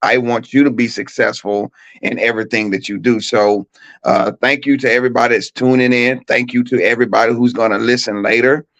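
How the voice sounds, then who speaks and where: With a Southern US accent, a man speaks at medium pitch with monotone, flat intonation. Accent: Southern country accent, kept. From US South, Mississippi (Shannon, near Tupelo). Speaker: track coach and educator. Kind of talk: talk show interview, personal story. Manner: casual, repeats words when speaking.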